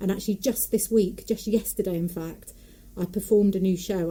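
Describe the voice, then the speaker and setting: A woman with a Nottingham accent speaks at medium pitch in a dark, mellow tone that is somewhat breathy. Her pace is fairly quick and her intonation monotone and flat. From English Midlands, Nottingham area. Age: 40s. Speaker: folk singer, puppeteer and storyteller. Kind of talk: casual interview chat.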